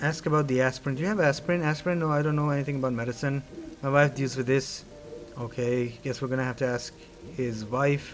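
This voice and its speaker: A man at a very fast pace, fairly high in pitch, with fairly even intonation and music in the background. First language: not English. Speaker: gaming YouTuber. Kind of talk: gameplay commentary, reading game dialogue aloud. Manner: casual, conversational.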